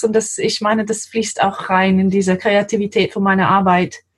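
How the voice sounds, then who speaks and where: Somewhat breathy, a woman speaks with an English accent. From England, London. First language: English (speaking German). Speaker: translator. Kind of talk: interview.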